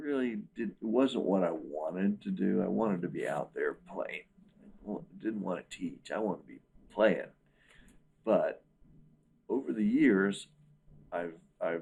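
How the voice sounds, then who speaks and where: Moving at a fairly slow pace, a man talks with long, frequent pauses and big swings in loudness. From US South, Wilmington, North Carolina. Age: 60s. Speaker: musician and guitar teacher. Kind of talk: interview.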